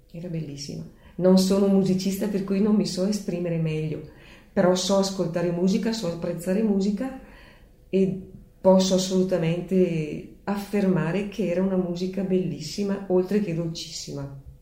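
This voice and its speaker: A woman speaks at a moderate pace and medium pitch with fairly even intonation. Audible room echo surrounds her voice. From Leffe, Bergamo province, northern Italy. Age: 60s. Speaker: bell-ringer's daughter, local enthusiast. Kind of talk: interview.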